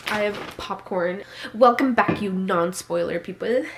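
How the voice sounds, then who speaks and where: A woman speaks in an animated tone at a medium pitch, with noticeable background noise behind her. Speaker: booktuber. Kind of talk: casual vlog chat.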